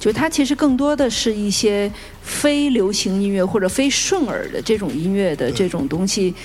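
A woman speaks at a moderate pace with very wide pitch swings. Music plays in the background. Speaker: guqin musician. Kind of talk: panel discussion. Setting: stage with audience.

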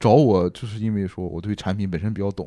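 In a very clean recording with a silent background, a man with a slight northeastern Chinese accent speaks at a moderate pace in a dark, mellow tone. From Dalian, northeast China. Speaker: archaeology PhD student and graphic designer. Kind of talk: casual chat.

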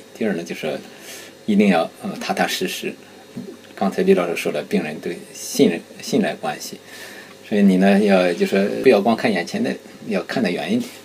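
Speaking at a moderate pace, the voice breaks off for long, frequent pauses over noticeable background noise. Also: man. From Shandong, Qingzhou. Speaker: community association president. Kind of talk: casual chat.

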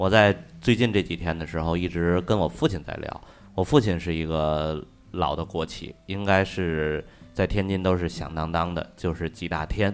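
Very deep and low in pitch, a man speaks at a moderate pace with fairly even intonation. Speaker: podcast co-host. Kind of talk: casual chat.

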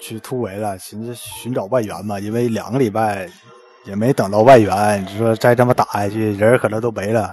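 A man with a Northeastern Chinese accent, fairly low in pitch, at a moderate pace with fairly even intonation and big swings in loudness, music in the background. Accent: Northeastern Mandarin. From Northeast China. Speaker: listener caller. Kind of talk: storytelling. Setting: live-stream voice call.

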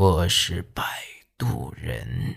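Putting on a raspy character voice, a man pushes his pitch very deep and low. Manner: slow, deliberate, word by word.

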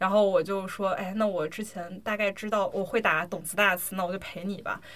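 A woman speaks in a normal speaking voice at a moderate pace. Her pitch sits in the middle of her range, with ordinary variation. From China. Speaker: podcast host, amateur drummer. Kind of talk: casual chat. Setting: home recording.

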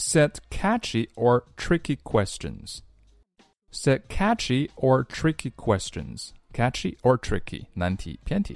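Very slowly and with a playful tone, a man speaks in a dry, close sound with no echo. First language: Chinese. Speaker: English teacher. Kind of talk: tutorial.

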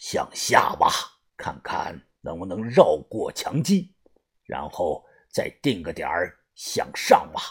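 In a put-on character voice, a man speaks low-pitched with a husky, rough edge, big pitch swings and a slow pace.

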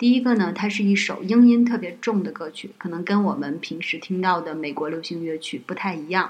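A woman talks at a moderate pace. Her pitch is medium, with ordinary variation. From Northeast China. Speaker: podcast guest, host's friend. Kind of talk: casual chat. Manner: hesitant, many fillers.

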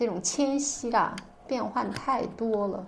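Her pitch fairly high and her intonation lively, a woman speaks at a fairly slow pace amid audible room echo. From northern Xinjiang, China. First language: Uyghur (speaking Chinese). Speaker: writer. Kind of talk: interview. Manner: hesitant, many fillers.

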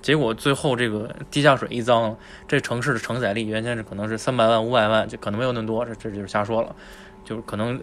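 A man is talking fairly fast. Behind him, background noise is noticeable. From Tianjin. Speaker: podcast host. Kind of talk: casual chat.

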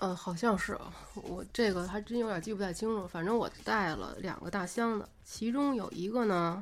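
This woman's pitch is medium and varies in an ordinary way. She talks at a moderate tempo. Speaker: guest on a podcast, longtime friend of host. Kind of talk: casual chat. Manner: soft-spoken.

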